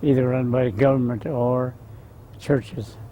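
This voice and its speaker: Over noticeable background noise, a man with a Southwestern US accent speaks at a medium pitch and fairly slow pace, his intonation fairly even. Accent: Navajo-accented English. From Navajo Reservation near Farmington, New Mexico. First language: Navajo. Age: 70s. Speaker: war veteran. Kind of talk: oral history interview. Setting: outdoors in the sun. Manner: halting.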